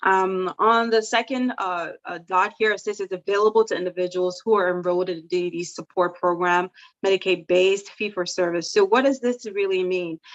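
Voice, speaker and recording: Over a quiet background, a woman talks at a medium pitch and a fairly quick pace with hardly any pauses and fairly even intonation, the sound dry and close with no echo. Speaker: support coordination expert. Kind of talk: presentation. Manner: fast.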